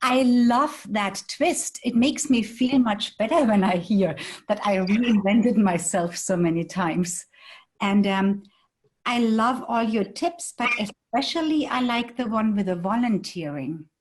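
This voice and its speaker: With a German accent, a woman speaks at a fairly slow pace in a fairly high pitch, somewhat breathy and with lively intonation. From Germany. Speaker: audience participant, small business owner. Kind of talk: casual discussion.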